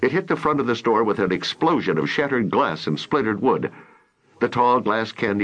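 The text is read aloud in a natural voice. Its pitch shifts only in ordinary ways.

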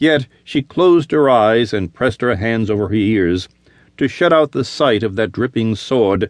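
Lively intonation runs through the delivery. It is an unforced reading voice.

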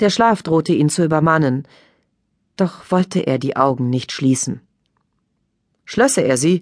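A woman's very deep, low pitch at a fairly slow pace, with lively intonation. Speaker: audiobook narrator. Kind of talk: dramatic audiobook narration of a crime thriller.

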